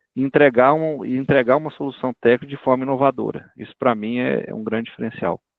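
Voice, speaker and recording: Barely pausing, a man rushes at a very fast pace with medium pitch, fairly even intonation and big swings in loudness. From Brazil, Minas Gerais/Goiás (Catalão). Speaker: animal nutrition industry expert. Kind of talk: career talk interview. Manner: casual, conversational.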